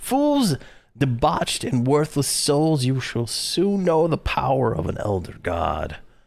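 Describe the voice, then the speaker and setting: A man's booming, put-on character voice, fairly high in pitch, at a fairly slow pace. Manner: booming, imperious.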